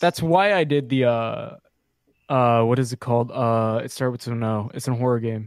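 A man speaks in an ordinary speaking voice at a medium pitch and a moderate pace, with ordinary pitch variation. The recording is very clean, with a silent background. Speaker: YouTuber and streamer. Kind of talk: casual chat.

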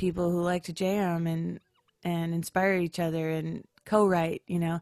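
With an American accent, a woman talks at a fairly low pitch and moderate pace, in a dry, close sound with no echo. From Upper Peninsula of Michigan, US. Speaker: singer-songwriter. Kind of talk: casual interview chat.

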